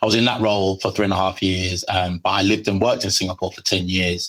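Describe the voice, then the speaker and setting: On a very clean recording with a silent background, a man with a strong British accent and a very deep, low pitch speaks fairly quickly in a flat monotone with a bright, sharp tone. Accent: heavy British. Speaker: legal marketing manager. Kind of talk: podcast interview. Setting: airport.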